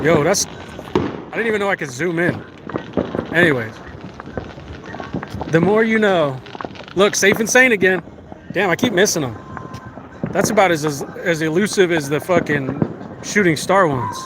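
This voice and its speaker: A man with an American accent speaks at a moderate pace, his high-pitched voice showing lively intonation. Long, frequent pauses break up his speech, and noticeable background noise is present. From US, Las Vegas. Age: 30s. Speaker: live streamer. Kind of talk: casual chat. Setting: outdoors. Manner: animated.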